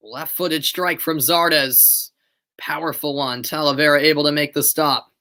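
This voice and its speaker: A man with an American accent keeps a moderate pace, captured on a very clean recording with a silent background. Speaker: amateur live sports commentator. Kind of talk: live play-by-play commentary; casual chat with live viewers. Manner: animated.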